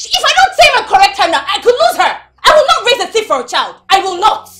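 A woman shouts in a put-on character voice, pitched extremely high and racing at a very fast pace with lively intonation. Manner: shouting.

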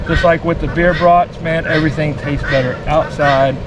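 A woman with a fairly low pitch speaks at a moderate pace. The sound is dry with no echo, though background noise is noticeable. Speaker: cooking show host. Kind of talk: casual vlog chat. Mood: joking, relaxed. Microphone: camera far.

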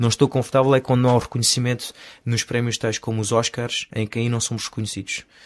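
The man talks at a very fast pace and a medium pitch, in a monotone with flat intonation. The sound is dry and close with no echo, on a very clean recording with a silent background. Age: 30s. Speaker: stunt coordinator. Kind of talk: interview.

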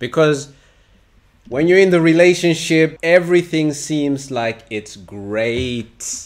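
The speaker talks at a slow pace. Pitch rises and falls in an ordinary way. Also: man, fairly high pitch for a man.

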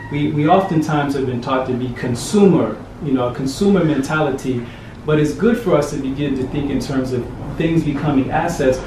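A man talking at a fairly quick pace, with noticeable background noise and audible room echo. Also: fairly high pitch for a man, ordinary pitch variation. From United States. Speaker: diaspora returnee, NGO worker; interviewee. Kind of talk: interview. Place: home room. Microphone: camera far.

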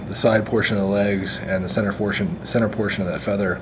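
There is clear background noise. A man speaks at a fairly low pitch.

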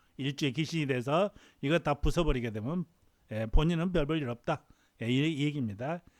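On a very clean recording with a silent background and a dry, close sound with no echo, a man speaks at a fairly quick pace with ordinary pitch variation. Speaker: fortune teller. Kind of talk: lecture. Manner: halting.

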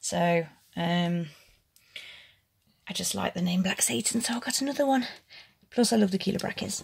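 A woman talks at a moderate pace. Her background is quiet. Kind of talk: casual vlog chat. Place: home room. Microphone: phone near.

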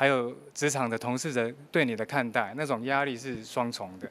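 Speaking at a moderate pace, a man keeps a medium pitch and fairly even intonation. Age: 50s. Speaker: working father, former electronics manager; interviewee. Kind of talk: news interview. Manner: halting, many filler sounds. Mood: earnest, reflective about hardship. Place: meeting room. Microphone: handheld.

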